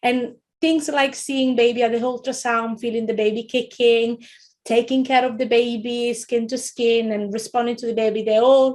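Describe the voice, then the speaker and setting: A woman's high-pitched voice in an Italian accent, monotone and flat, at a moderate pace. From Italy. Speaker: childcare trainer, former midwife. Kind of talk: webinar lecture. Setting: online webinar. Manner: halting, many fillers and repetitions.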